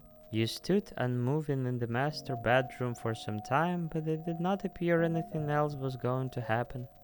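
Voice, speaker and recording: With music in the background, a man with a non-native accent speaks at a moderate pace and fairly high pitch, with ordinary pitch variation and hardly any pauses. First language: not English. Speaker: streamer. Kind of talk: reading aloud.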